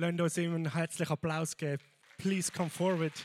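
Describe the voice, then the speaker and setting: Music plays in the background. The sound itself is dry and close, with no echo. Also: man. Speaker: church host introducing guest speaker. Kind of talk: welcome introduction. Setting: church.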